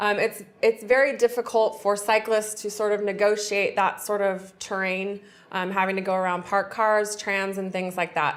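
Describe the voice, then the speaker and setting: In a very clean recording with a silent background, a woman with an American accent speaks at a medium pitch and moderate pace. Her intonation is monotone and flat, and she hardly pauses at all. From US West Coast, San Francisco. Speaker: forensic engineer, expert witness. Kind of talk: TV interview.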